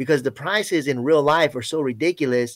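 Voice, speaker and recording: In an ordinary speaking voice with an American accent, a man speaks fairly quickly at a fairly high pitch. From Florida. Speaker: chat guest and movie fan. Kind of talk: casual chat. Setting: live video chat.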